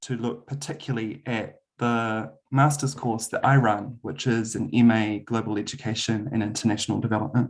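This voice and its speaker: A man with a New Zealand accent talks at a moderate pace, with ordinary pitch variation. The background is quiet. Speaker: university lecturer. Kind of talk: webinar presentation. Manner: hesitant, many filler ums.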